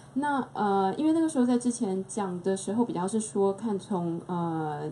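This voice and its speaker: Against light background noise, a woman speaks at a fairly slow pace with lively intonation. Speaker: film festival curator. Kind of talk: panel talk. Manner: casual, hesitant. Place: shop. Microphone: handheld.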